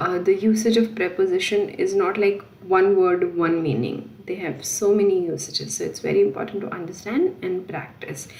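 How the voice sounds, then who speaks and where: A woman talks with hardly any pauses. Noticeable background noise and audible room echo fill the recording. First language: not French. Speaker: French language teacher. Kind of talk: tutorial. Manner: halting, with fillers.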